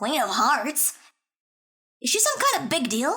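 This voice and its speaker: This is a put-on character voice pitched high. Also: moderate pace. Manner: excitable.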